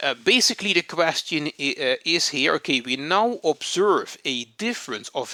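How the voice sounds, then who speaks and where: A man speaks at a fairly slow pace with a fairly high pitch, a bright, sharp tone and vocal fry. The sound is dry and close, with no echo. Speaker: psychologist and statistician, educational video host. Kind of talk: lecture. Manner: halting, many fillers and restarts.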